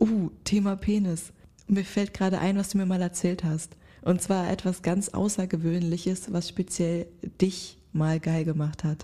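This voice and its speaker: A woman with a dark, mellow, somewhat breathy voice at a medium pitch speaks at a fairly slow pace with monotone, flat intonation. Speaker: podcast co-host. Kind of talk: casual chat.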